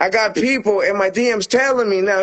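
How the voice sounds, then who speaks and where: A man's high-pitched voice. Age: 40s. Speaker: rapper. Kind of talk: casual interview. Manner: animated.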